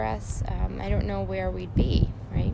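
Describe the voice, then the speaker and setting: A woman's voice carries audible room echo. Noticeable background noise sits behind her. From Russia, immigrated as refugee child. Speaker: recovery fitness nonprofit co-founder. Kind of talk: live-stream reflective talk. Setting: outdoors at a softball field, Facebook live. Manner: hesitant, many fillers.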